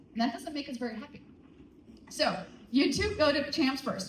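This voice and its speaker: The speaker's intonation is lively. Room echo can be heard. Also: woman. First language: not English. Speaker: teacher. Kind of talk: school assembly announcements. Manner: animated.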